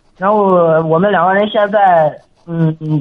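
This man has a high pitch. He talks at a moderate pace. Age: 20s. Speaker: factory worker. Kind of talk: call-in advice conversation.

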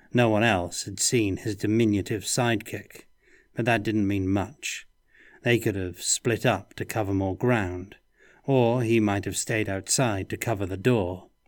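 A man's plain, everyday voice, fairly low in pitch, at a fairly slow pace with fairly even intonation, in a very clean recording with a silent background. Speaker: narrator reading aloud. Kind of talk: audiobook narration of noir fantasy, read aloud. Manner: moody, dry noir-style delivery with character voices.

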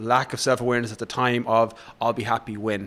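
With an Irish accent, a man talks at a medium pitch in a monotone, flat intonation. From west of Ireland, rural. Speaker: fitness coach and author. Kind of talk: interview conversation.

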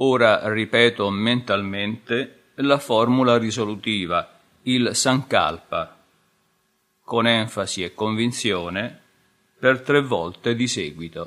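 A man talks at a very slow pace with long, frequent pauses. He has a medium pitch and ordinary pitch variation. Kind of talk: guided meditation. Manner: slow, calm, soothing, with long pauses.

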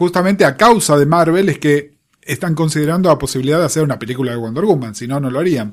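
A man with a Rioplatense accent talks at a very fast pace with a fairly high pitch. His intonation is lively. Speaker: podcast co-host. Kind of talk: casual chat.

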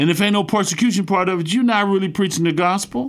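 Speaking at a fast pace, a man with a gravelly, high-pitched voice uses ordinary pitch variation on a very clean recording with a silent background.

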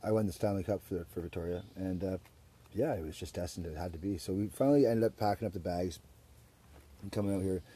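A man with a Western Canadian accent speaks at a very fast pace in a very deep, low pitch. His tone is dark and mellow, somewhat breathy, with ordinary pitch variation. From Surrey, British Columbia, Canada. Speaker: podcast host. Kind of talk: casual chat. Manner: animated.

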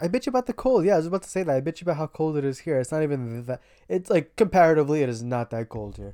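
A woman with an American accent speaks very fast with hardly any pauses, her very deep, low voice dark and mellow in tone. Her pitch swings very widely and her loudness swings greatly, in a dry, close sound with no echo. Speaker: podcast co-host. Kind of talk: casual comedic chat.

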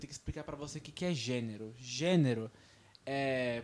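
Lively intonation at a moderate pace in a man's fairly high, unremarkable speaking voice. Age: 20s. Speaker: podcast co-host. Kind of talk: casual chat. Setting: radio studio.

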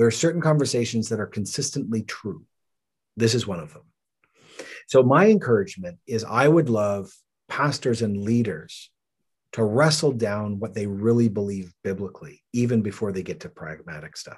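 A man with a Canadian accent and an ordinary speaking voice, medium-pitched, at a moderate pace, with lively intonation, big swings in loudness and a quiet background. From Canada. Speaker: pastor. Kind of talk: interview.

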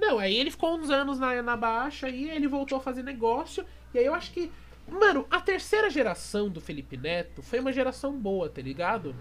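A man's extremely high voice, fairly quick, with very wide pitch swings. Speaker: podcast host. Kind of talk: casual chat. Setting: live stream.

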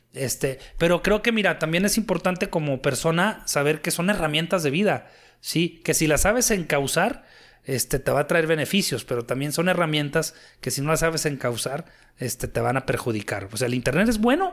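The recording is very clean, with a silent background. A man with a fairly high pitch talks at a moderate pace. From Torreón, Coahuila, northern Mexico. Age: 40s. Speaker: retired bullfighter and businessman. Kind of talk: casual interview. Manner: halting, many fillers.

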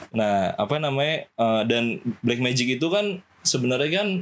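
This man has an ordinary speaking voice, medium pitch and ordinary pitch variation. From Java, Indonesia. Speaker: film restoration worker. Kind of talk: casual chat.

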